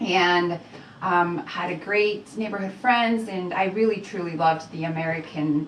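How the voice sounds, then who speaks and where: A woman of medium pitch speaks fairly slowly with a slight Mexican accent. Room echo is audible and background noise is noticeable. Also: ordinary pitch variation. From Mexico, moved to Utah at eleven. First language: Spanish. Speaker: entrepreneur, real estate investor. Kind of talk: radio interview. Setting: radio studio. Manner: hesitant, many fillers.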